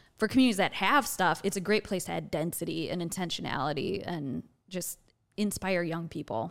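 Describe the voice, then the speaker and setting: In a very clean recording with a silent background, a woman with an American accent talks at a fairly quick pace in a fairly low voice with lively intonation and vocal fry. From Wisconsin, rural farm. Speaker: entrepreneurship educator and founder. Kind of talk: interview.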